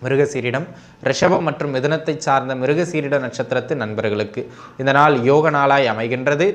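His pitch sits at a medium level for a man, with ordinary variation. This man talks at a moderate pace.

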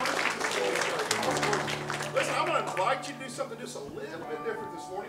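Music plays clearly behind the talking. The speaker is a man. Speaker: church pastor. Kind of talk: sermon introduction. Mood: warm, friendly. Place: church.

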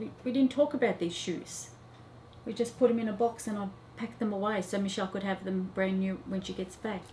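A woman's somewhat breathy, dark and mellow voice at a fairly quick pace, with ordinary pitch variation and light background noise. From Australia (Melbourne). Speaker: mother of patient. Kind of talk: testimony. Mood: warm, amazed, emotional. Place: office.

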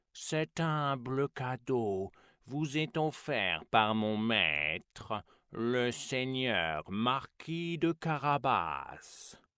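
A man's put-on character voice at a very slow pace, in a very clean recording with a silent background. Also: medium pitch for a man. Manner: royal, ceremonious.

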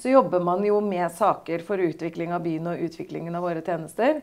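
A dark, mellow tone with ordinary pitch variation is heard against a quiet background. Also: woman. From Norway, Østfold (Torsnes); Norway. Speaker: mayor. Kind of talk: political interview. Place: office.

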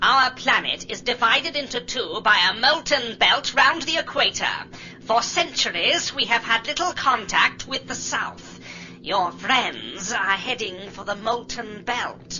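A female-sounding voice speaks in a put-on character voice at a high pitch and fairly slow pace. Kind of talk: radio drama dialogue. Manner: cold, emotionless.

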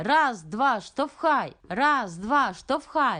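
A woman uses a put-on character voice, raised and projected at a high pitch. She goes at a very slow pace over a quiet background. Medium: read story.

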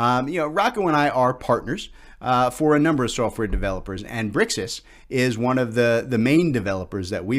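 The pitch varies in an ordinary way while the text is read aloud in a natural voice.

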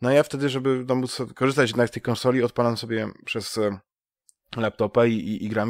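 A man with a medium pitch speaks at a very fast pace. The recording is very clean and dry, with a silent background, a close sound and no echo. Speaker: gaming podcast host. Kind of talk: casual chat. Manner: halting, many fillers and repetitions.

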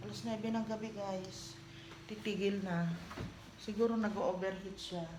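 A woman at medium pitch speaks at a fairly slow pace with fairly even intonation and long, frequent pauses. The recording has noticeable background noise and audible room echo. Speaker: vlogger. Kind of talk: casual vlog talk to camera. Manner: not as loud as before.

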